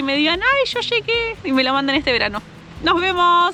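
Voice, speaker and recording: A woman talks at a fairly quick pace in a raised, projected voice. Noticeable background noise is heard behind her. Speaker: motorcycle travel vlogger. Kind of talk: travel tutorial. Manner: fast; hesitant fillers.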